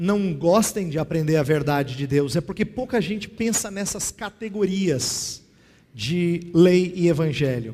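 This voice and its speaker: High-pitched man with a dark, mellow tone, lively intonation and a fairly slow pace. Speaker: pastor and theology teacher. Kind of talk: lecture. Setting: classroom with audience and slides.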